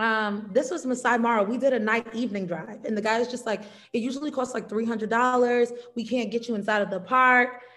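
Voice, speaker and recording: There is noticeable background noise as a woman talks at a fairly quick pace in a fairly high voice with fairly even intonation. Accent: American. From New York and South Carolina. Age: 30s. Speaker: travel content creator and teacher. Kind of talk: casual interview.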